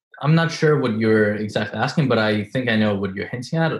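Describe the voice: A man with a non-native accent, fairly low pitch and a slightly husky edge, speaking at a fairly quick pace with lively intonation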